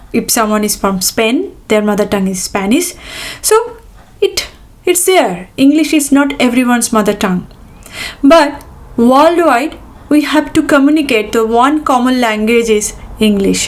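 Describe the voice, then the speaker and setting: Lively intonation from a woman with an Indian accent and high pitch, at a moderate pace with long, frequent pauses. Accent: Indian English, own. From India, Bengal. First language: Bengali. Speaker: tech professional, YouTuber. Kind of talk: casual talk to camera, advice podcast. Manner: halting, with fillers and restarts.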